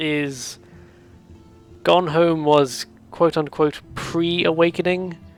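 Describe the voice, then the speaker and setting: Music plays in the background while the words come out very slowly. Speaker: video series host talking about games. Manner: hesitant, rambling with many fillers.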